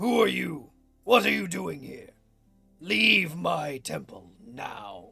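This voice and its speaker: Over faint background music, a man does a raspy, put-on character voice at medium pitch and a very slow pace. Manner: hostile, challenging.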